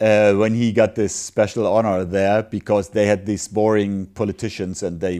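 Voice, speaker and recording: With a German accent, a man speaks at a fairly slow pace on a very clean recording with a silent background. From Germany. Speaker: sports commentator and podcast host. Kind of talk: casual chat.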